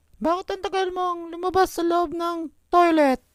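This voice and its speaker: Squeaky and extremely high in pitch, this cartoonish character voice moves at a moderate pace. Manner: firm.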